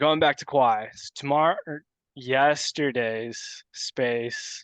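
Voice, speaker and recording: A man with a plain, everyday voice speaks at a fairly slow pace with fairly even intonation. The sound is dry and close with no echo, over a quiet background. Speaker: crypto podcast co-host. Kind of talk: casual chat.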